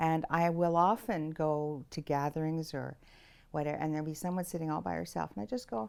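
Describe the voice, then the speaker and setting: With a Canadian accent, a woman talks at a fairly quick pace in a very deep, low pitch. Her intonation is lively. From Ontario, Canada. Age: 80s+. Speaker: podcast guest. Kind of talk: casual interview.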